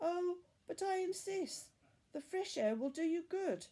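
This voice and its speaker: Putting on a squeaky character voice at an extremely high pitch, a woman speaks at a fairly slow pace with lively intonation. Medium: read story. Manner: gracious, smooth, grandly polite.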